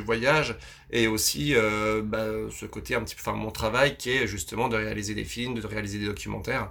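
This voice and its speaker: A man speaks at a medium pitch, with vocal fry throughout. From France, Vosges. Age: 30s. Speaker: adventurer and filmmaker. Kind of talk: interview conversation. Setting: on a sailboat. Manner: hesitant, many fillers.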